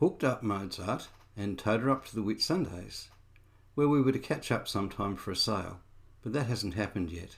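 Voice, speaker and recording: The speaker has an Australian accent and lively intonation at a moderate pace. The recording is very clean, with a silent background. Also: man. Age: 60s. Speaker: amateur boat restorer. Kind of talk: reflective narration.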